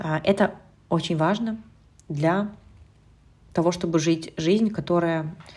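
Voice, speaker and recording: A woman's dark, mellow tone. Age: 30s. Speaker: nutritionist and eating behavior coach, podcast host. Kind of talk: solo podcast monologue, advice talk.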